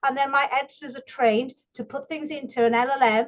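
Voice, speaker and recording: At a very fast pace, a woman speaks with high pitch and ordinary pitch variation. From northeast England (Geordie area). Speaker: book publisher running a workshop. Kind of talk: online workshop presentation. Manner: casual, animated.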